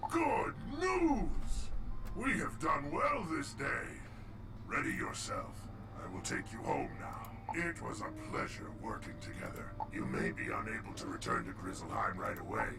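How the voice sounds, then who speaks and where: Loud background noise runs under a man doing a put-on character voice at a moderate pace. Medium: machinima. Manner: hearty, formal.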